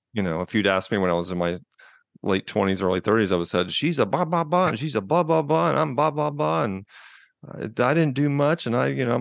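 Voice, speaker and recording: Using vocal fry and very wide pitch swings, a man speaks at a very fast pace. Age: 50s. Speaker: divorced father sharing his story. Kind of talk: interview testimony. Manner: halting with frequent false starts; loud volume.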